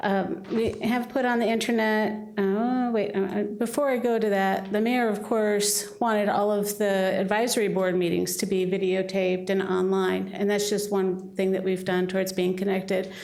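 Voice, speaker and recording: A woman talks in a flat monotone at very even loudness with hardly any pauses, while noticeable background noise and audible room echo surround her. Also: medium pitch for a woman. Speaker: city staff member presenting to council. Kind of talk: presentation at council meeting. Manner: fast.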